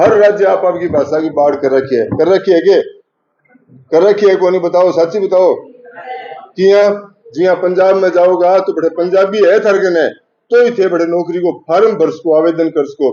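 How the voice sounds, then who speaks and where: A man speaks in a high pitch with ordinary pitch variation. His pace is moderate. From Rajasthan. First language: Rajasthani (speaking Hindi). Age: 60s. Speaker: language activist and local news reporter. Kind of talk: address to college students. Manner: animated.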